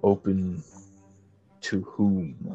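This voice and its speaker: A man whispering in a put-on character voice. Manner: commanding whisper.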